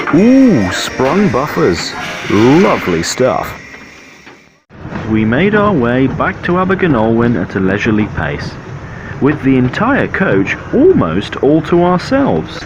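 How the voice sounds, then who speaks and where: Very slow male speech at a medium pitch, with very wide pitch swings, audible room echo and noticeable background noise. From Devon, England. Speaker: railway enthusiast vlogger. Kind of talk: narrated travel vlog voiceover.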